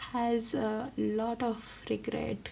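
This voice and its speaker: Clear background noise fills the recording. The speaker is a woman. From India. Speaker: tarot reader. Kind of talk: tarot reading.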